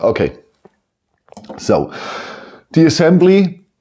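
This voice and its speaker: Speaking at a very slow pace, a man with a German accent has a dark, mellow tone. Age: 50s. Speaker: toy building set reviewer. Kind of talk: product review. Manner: halting; animated.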